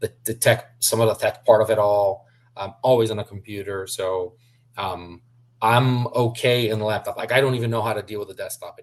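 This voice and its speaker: Somewhat breathy, a man talks at a fairly quick pace. His intonation is fairly even. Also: medium pitch for a man, big swings in loudness. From southern Brazil, Curitiba. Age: 40s. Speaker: sports interpreter. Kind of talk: interview conversation.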